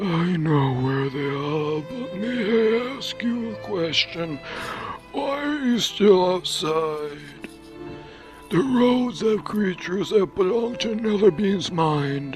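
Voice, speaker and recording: Clear music plays behind a man doing a put-on character voice. He speaks fairly slowly at a high pitch with very wide pitch swings. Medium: read story. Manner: nervous, deferential.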